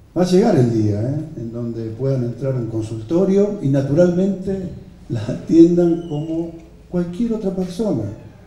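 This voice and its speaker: The pitch swings very widely, with audible room echo around the voice. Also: man. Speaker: health minister. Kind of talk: speech at official presentation. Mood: earnest, hopeful. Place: hall.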